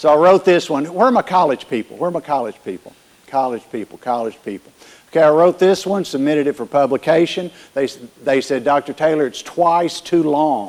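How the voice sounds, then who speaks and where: With a strong Southern US accent, a man talks in an animated tone at a fairly high pitch, with ordinary pitch variation and a moderate pace. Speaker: keynote speaker, workforce consultant. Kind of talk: keynote talk to live audience. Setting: conference stage with audience. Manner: animated, directive.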